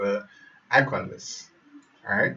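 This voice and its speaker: A man with a Jamaican accent speaks at a fairly slow pace. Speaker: web developer. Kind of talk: tutorial. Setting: live stream. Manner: halting.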